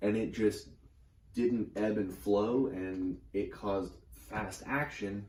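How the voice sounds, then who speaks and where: Vocal fry and a dark, mellow tone come through with audible room echo. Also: man. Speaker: tarot reader. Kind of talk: tarot reading.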